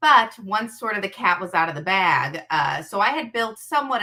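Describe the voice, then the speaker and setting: There is a strong Chicago accent in this woman's speech. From US Midwest, Chicago area. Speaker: social media creator. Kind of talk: casual interview chat.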